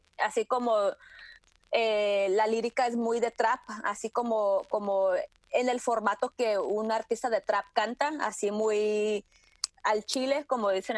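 With a dry, close sound and no echo, a woman speaks at a very slow pace in a fairly high pitch with fairly even intonation. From Tijuana–San Diego border, Mexico. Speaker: music industry producer and curator. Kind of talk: interview. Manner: halting, many fillers and repetitions.

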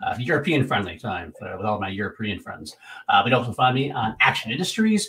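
A man has a normal speaking voice at a medium pitch. He talks at a fairly quick pace. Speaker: podcast co-host. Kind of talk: casual chat. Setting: video call.

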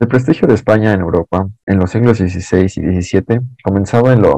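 This man talks at a moderate pace with a dark, mellow tone and a fairly low pitch. His pitch varies an ordinary amount, and the sound is dry and close with no echo. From Mexico City. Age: 20s. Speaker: podcast guest. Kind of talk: reading aloud.

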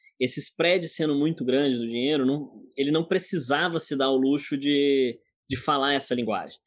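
This man speaks with a Goiás accent. His pitch is fairly high and his pace moderate. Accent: Goiás rural accent (joked as French). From Goiás, Brazil. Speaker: agtech product director. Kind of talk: interview.

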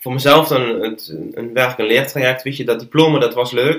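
Medium-pitched male speech at a moderate pace with fairly even intonation. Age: 20s. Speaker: filmmaker and podcast maker. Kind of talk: interview conversation. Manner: halting, many fillers and repetitions.

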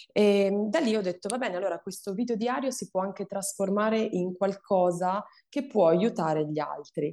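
Her tone is dark and mellow. The woman keeps a moderate pace against a quiet background. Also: medium pitch for a woman, ordinary pitch variation. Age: 30s. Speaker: breast cancer survivor and awareness content creator. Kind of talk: testimony.

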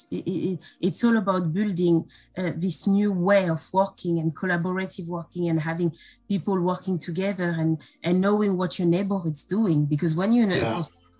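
In a very clean recording with a silent background, a woman speaks at a fairly quick pace in a fairly low, dark, mellow, somewhat breathy voice with fairly even intonation. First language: not English. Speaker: health and safety professional. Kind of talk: interview. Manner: hesitant, with fillers.

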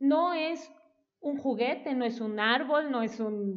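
A woman speaks in a high voice with a Mexican accent. Audible room echo is present. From Mexico, Veracruz (Coatepec). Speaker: parenting educator. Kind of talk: casual interview.

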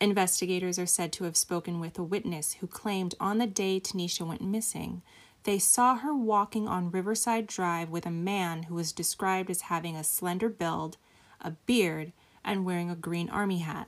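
An unremarkable speaking voice moves at a moderate pace with ordinary pitch variation, captured in a very clean recording with a silent background. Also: woman, medium pitch for a woman. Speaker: true crime podcast host. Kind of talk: true-crime narration. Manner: grave, measured, somber storytelling pace.

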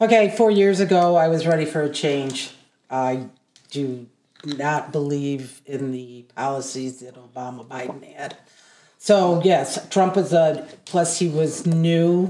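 Speaking at a fairly slow pace in an American accent, a woman has a very deep, low pitch, ordinary pitch variation, and big swings in loudness. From southeast Michigan. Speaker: podcast guest. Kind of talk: political discussion.

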